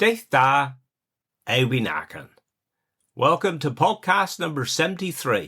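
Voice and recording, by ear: On a very clean recording with a silent background, a man uses a croaky, high-pitched put-on character voice, talking fairly slowly with long, frequent pauses.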